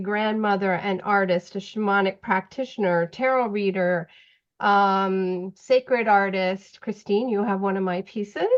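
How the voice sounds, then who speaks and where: Against a quiet background, a woman of medium pitch speaks in an unremarkable speaking voice with fairly even intonation. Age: 60s. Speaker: retired public servant and tarot reader. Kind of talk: interview.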